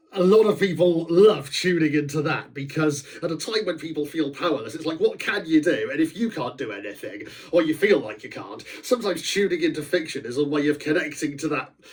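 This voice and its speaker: A man's fairly high voice, lively in intonation and fairly quick, with hardly any pauses, over noticeable background noise. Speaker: author. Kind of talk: casual talk about his book.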